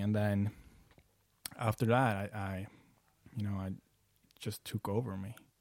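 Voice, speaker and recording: A man talks with a fairly low pitch. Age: 20s. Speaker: coach and business founder. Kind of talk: casual chat. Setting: host's apartment.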